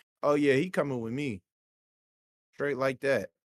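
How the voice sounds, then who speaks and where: The sound is dry and close, without any echo. An American accent is heard. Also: man. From San Francisco Bay Area, US. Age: 30s. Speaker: guest, podcast guest. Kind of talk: casual podcast chat.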